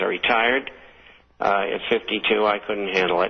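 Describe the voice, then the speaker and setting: Over noticeable background noise, a man with an American accent talks in a flat, monotone way. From Boston area, Somerville, Massachusetts. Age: 70s. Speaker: retired stockbroker and financial newsletter publisher. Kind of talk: radio interview. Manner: hesitant, many fillers.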